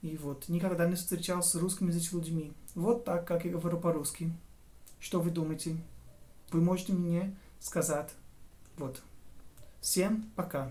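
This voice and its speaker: A man with a Portuguese accent speaks at a moderate pace, high in pitch, with a dark, mellow tone. His intonation is fairly even, he takes long, frequent pauses, and the room echo is audible. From southern Brazil, near Uruguay border. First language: Portuguese (speaking Russian). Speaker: language learner and tutor. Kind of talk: casual vlog monologue. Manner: halting, self-correcting.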